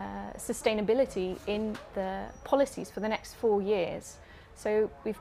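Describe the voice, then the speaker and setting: Over noticeable background noise, a woman speaks fairly slowly at a fairly high pitch with fairly even intonation. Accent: British. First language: Dutch. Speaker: climate-focused doctor. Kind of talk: interview. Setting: in a mobile tour studio.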